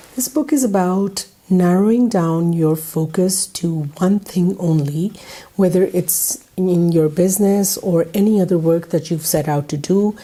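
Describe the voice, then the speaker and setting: This woman's speech has ordinary pitch variation, with noticeable background noise behind it. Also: medium pitch for a woman, fairly slow pace. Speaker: book review youtuber. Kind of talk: casual vlog book review.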